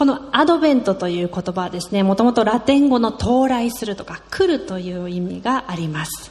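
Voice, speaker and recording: A woman with a fairly high pitch talks at a moderate pace, barely pausing, her pitch swinging very widely and her loudness rising and falling sharply. Noticeable background noise runs underneath. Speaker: sermon interpreter. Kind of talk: sermon. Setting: church with congregation.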